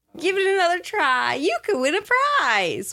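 The speaker uses a put-on character voice at an extremely high pitch. The pitch swings very widely. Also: moderate pace. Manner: creepy, sing-song, cartoonish.

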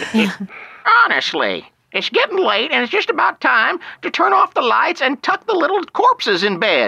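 A woman speaks in a high voice. The sound is dry and close, with no echo. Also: moderate pace. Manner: scolding, exasperated.

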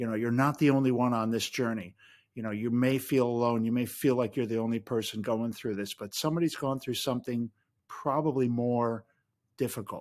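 Here a man with an American accent talks fairly quickly in an ordinary speaking voice. His pitch is medium and his intonation fairly even, on a very clean recording with a silent background. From US Midwest. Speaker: podcaster and writer. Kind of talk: casual chat.

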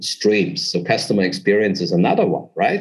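A man speaks with a German accent. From southern Germany. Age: 40s. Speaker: business consultant. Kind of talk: interview.

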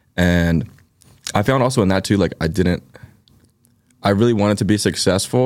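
This man with an American accent talks at a moderate pace, his intonation lively and his voice showing vocal fry. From Philadelphia. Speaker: musician. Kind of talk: casual interview chat. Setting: studio. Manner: casual, filler-heavy, uses 'like' a lot.

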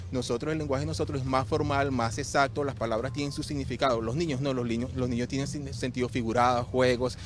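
This man talks very fast. His voice sits at a medium pitch and varies in an ordinary way. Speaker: real estate advisor with Asperger's. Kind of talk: interview testimony.

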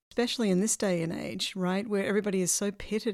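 In a very clean recording with a silent background, the speaker goes at a very fast pace with fairly even intonation. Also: woman. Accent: Australian. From Australia. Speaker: podcast host. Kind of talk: interview.

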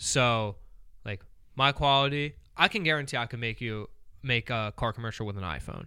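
In a very clean recording with a silent background, a man with a bright, sharp tone talks at a moderate pace, leaving long, frequent pauses. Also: medium pitch for a man, ordinary pitch variation. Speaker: video content creator. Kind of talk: casual chat.

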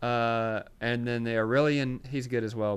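The speaker talks at a moderate pace in a Southern US accent. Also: man. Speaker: podcast co-host. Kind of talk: casual banter, happy hour podcast. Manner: animated, slangy.

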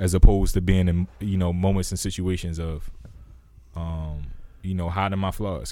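In audible room echo, a man with a very deep, low pitch and a dark, mellow tone speaks at a moderate pace with fairly even intonation. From Baltimore. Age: 30s. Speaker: podcast co-host. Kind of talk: casual chat.

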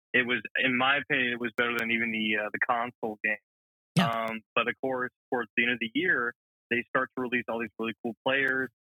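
A very fast, monotone, flat delivery from a man with an American accent at a medium pitch. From Georgia, US South (Alpharetta). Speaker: media intern, sports fan. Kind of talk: casual sports chat. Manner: halting, many fillers.

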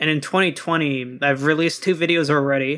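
On a very clean recording with a silent background, a man with a bright, sharp tone and a fairly high pitch talks at a fairly quick pace with fairly even intonation. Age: 20s. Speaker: YouTuber. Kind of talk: casual chat.

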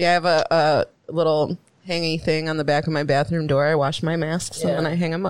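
Her pace is very fast. This woman's voice is very deep and low. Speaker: podcast co-host. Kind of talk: casual chat. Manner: animated.

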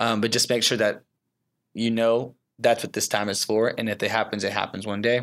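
Recorded very cleanly against a silent background, a man talks at a moderate pace in a normal speaking voice of medium pitch. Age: 20s. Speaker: creative producer and church leader. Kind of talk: interview.

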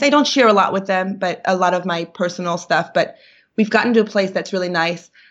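A medium-pitched woman's voice with ordinary pitch variation over a quiet background. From Brooklyn, New York. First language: Yiddish. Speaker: actor and podcast co-host. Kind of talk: casual interview chat, storytelling.

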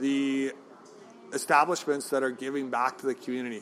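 Over noticeable background noise, a man with a Canadian prairie accent talks fairly quickly at a fairly high pitch. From Saskatchewan, Canada (Regina). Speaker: restaurant owner. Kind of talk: interview. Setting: in a pub.

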